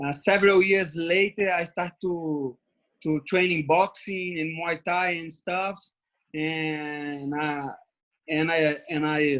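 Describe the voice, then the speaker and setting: A very slow, fairly high-pitched male voice with a Brazilian Portuguese accent, fairly even intonation and a quiet background. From Brazil (Brasilia, Rio de Janeiro). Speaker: MMA fighter. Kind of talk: interview. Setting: video call from home. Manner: halting.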